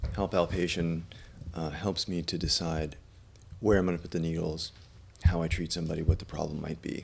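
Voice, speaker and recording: With a very deep, low pitch and flat, monotone intonation, a man speaks in stretches broken by long, frequent pauses. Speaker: acupuncturist. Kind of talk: tutorial. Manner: halting; casual.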